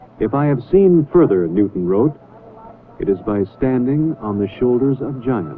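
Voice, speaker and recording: Noticeable background noise runs under a man's medium-pitched voice. His pitch swings very widely at a moderate pace. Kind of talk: documentary narration.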